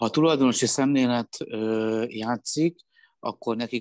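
With an ordinary speaking voice, a man talks at a moderate pace. His pitch is medium. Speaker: handball pundit. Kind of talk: casual chat.

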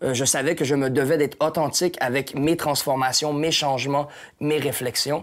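A man with a Quebec accent speaks at a moderate pace in a monotone, flat intonation against a quiet background. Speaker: hip-hop artist and painter. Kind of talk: casual interview. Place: home room. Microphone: lapel.

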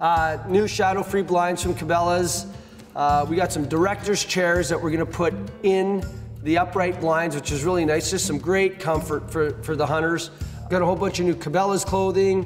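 Clear music plays behind a man whose high voice moves at a moderate pace with fairly even intonation. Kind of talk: interview answer. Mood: cheerful, joking. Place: garage.

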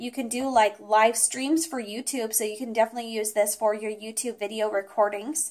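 A woman's fairly even intonation at a fairly quick pace with hardly any pauses. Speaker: product reviewer. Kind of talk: product review talk. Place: home room.

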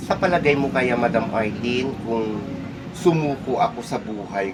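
A man talks at a moderate pace. Music plays in the background, and the room echo is audible. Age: 60s. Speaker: hairdresser. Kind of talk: casual chat.

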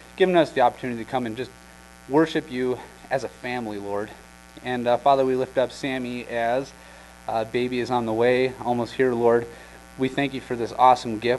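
Against light background noise, a man talks at a fairly quick pace with fairly even intonation. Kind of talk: announcements and prayer. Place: church.

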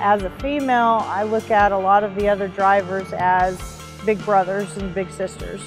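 A woman speaks at a fairly slow pace. The sound is dry with no echo, and clear music plays in the background. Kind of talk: interview answer. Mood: reflective, warm. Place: street.

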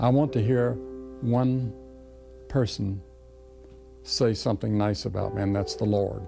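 A man talks with lively intonation. Music plays clearly in the background. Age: middle-aged. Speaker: evangelist. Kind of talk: interview answer. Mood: reflective, earnest. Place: home room.

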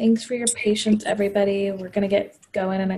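A woman's dark, mellow, somewhat breathy voice, fairly quick and monotone, over light background noise. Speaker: community manager. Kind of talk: event moderation. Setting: video call. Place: home room. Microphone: earbuds.

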